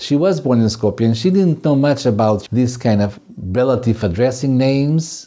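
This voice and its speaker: With a Macedonian accent, a man speaks at a medium pitch in a dark, mellow tone with very wide pitch swings. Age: 60s. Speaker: folk music teacher and podcast co-host. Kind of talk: casual explanatory chat.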